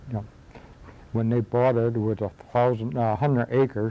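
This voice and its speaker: At a moderate pace, a man with a medium pitch speaks in a dark, mellow tone with fairly even intonation. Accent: western New York. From western New York, Akron area. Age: old. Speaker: local history interviewee. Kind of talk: oral history interview. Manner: halting.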